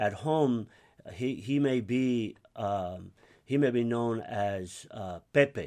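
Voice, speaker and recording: A man with an American accent speaks at a very slow pace, his pitch medium and his tone dark and mellow. His pitch varies an ordinary amount against a quiet background. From US (raised from age 5, Cuban-born). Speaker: pastor. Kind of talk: interview.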